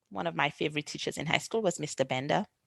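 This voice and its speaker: On a very clean recording with a silent background and a dry, close sound without echo, a woman with a very deep, low voice and vocal fry speaks at a very fast pace with lively intonation. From Saint Lucia, Caribbean. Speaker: podcast host. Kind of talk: interview.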